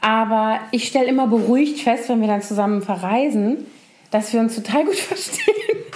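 A woman talks at a moderate pace with very even loudness, with audible room echo and noticeable background noise. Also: fairly high pitch for a woman, ordinary pitch variation. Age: 40s. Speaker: podcast co-host. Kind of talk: casual chat.

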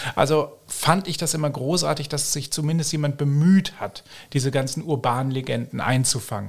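Pitch varies in an ordinary way in this somewhat breathy voice. It moves at a moderate pace. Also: man, fairly high pitch for a man. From Germany. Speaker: fact-checker, press spokesman. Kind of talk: podcast interview.

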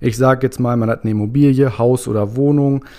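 A normal speaking voice, this man talks at a fairly quick pace and a medium pitch with ordinary pitch variation. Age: 20s. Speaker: tax consultancy employee. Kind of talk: casual explanatory chat.

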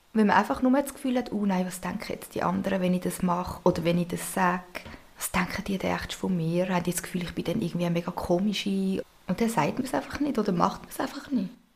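A woman talks at a very fast pace in a medium-pitched voice with ordinary pitch variation. Background noise is noticeable. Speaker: co-host, host's older sister. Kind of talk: casual chat.

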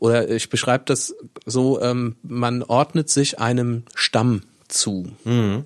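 A man with a medium-pitched voice. The recording is very clean and dry, close-up with no echo and a silent background. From Rhineland-Palatinate, Koblenz area. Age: 40s. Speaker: local newspaper editor. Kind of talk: casual interview chat.

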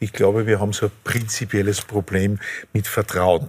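This is an ordinary speaking voice. The pace is moderate. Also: man. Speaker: physicist. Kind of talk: panel discussion.

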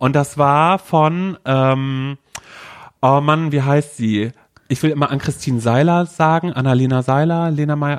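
With very even loudness and a dry, close sound free of echo, a man talks fairly slowly in an ordinary speaking voice at a fairly high pitch. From Mecklenburg-Vorpommern, rural village (born in North Rhine-Westphalia). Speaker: podcast co-host. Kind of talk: casual chat.

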